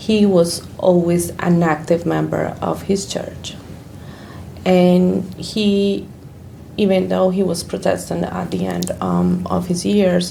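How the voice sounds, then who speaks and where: Speaking very slowly, a woman is heard with audible room echo and noticeable background noise. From Colombia. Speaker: church ministry worker. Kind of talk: interview.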